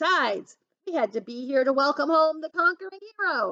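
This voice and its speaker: Putting on a character voice, a woman goes gruff and extremely high-pitched, with big swings in loudness. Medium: read story. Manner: brash, overconfident.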